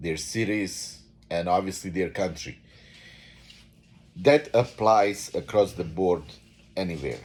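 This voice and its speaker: A man speaks with a Bosnian accent at a fairly slow pace. His pitch varies in an ordinary way. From Bosnia and Herzegovina. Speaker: vlogger. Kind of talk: unscripted monologue. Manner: halting, many fillers.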